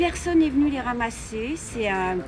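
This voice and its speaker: A woman with a fairly high pitch speaks at a moderate pace against noticeable background noise. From Grenoble, France. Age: 70s. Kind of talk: street interview.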